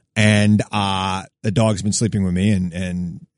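A man with an American accent speaks in a plain, everyday voice, fairly low-pitched and fairly even in intonation, at a fairly slow pace, with a dry, close sound, no echo and a quiet background. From Long Island, New York. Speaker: radio host. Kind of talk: political talk radio debate. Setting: studio.

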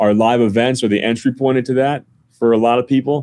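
A man with an American accent talks at a fairly quick pace and medium pitch in an unremarkable speaking voice. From northern New Jersey. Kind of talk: interview.

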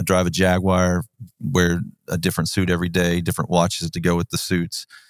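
In a Texan accent, a man talks at a moderate pace with a very deep, low pitch, and the very clean recording has a dry, close sound with no echo and a silent background. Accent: Texan American. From South Texas. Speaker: pastor. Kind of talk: casual chat.

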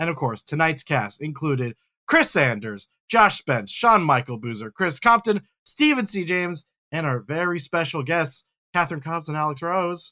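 In a very clean recording with a silent background and a dry, close sound with no echo, a man with a fairly high pitch and a bright, sharp tone speaks at a moderate pace with lively intonation. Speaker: podcast co-host. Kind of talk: casual chat.

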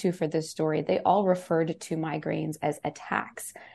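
A woman speaks at a moderate pace with a fairly low pitch and vocal fry. The background is quiet. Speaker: science reporter. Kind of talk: radio interview.

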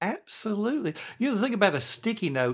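Very wide pitch swings from a male speaker in a very clean recording against a silent background. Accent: Southern US. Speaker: productivity coach. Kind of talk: interview.

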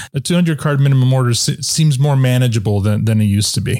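A somewhat breathy man's voice at a medium pitch, with ordinary pitch variation and a fairly quick pace. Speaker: podcast host. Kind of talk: corporate podcast host, interview.

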